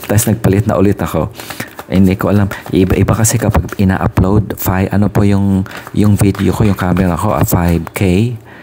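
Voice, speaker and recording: A soft-spoken man talks fairly quickly in a fairly low voice, his loudness very even and his intonation fairly even. Noticeable background noise runs beneath him. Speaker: tarot reader. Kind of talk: casual chat.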